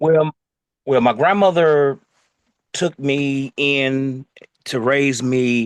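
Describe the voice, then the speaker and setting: A man with a fairly high pitch speaks very slowly, with fairly even intonation and long, frequent pauses, in a dry, close sound with no echo. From Detroit, Michigan. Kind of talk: oral history interview answer.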